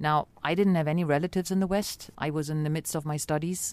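On a very clean recording with a silent background, a woman with a very deep, low pitch speaks at a fairly quick pace with fairly even intonation. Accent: German. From East Berlin, Germany. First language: German. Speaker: ambassador. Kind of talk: interview. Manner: hesitant.

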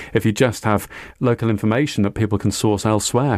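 In a Welsh accent, a man with a fairly low voice speaks with ordinary pitch variation on a very clean recording with a silent background. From Wales, Cardiff. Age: 50s. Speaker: community radio founder. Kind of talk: interview.

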